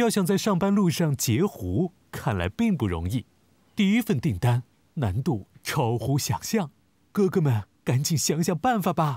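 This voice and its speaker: In a very clean recording with a silent background and a dry, close sound with no echo, a man speaks fairly slowly in a fairly high pitch, somewhat breathy and dark and mellow in tone, with very wide pitch swings. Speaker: narrator announcer. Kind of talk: scripted narration.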